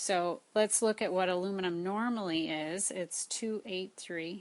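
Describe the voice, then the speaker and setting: This woman has an ordinary speaking voice, medium in pitch, with fairly even intonation at a fairly slow pace. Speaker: high school science teacher. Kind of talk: lecture.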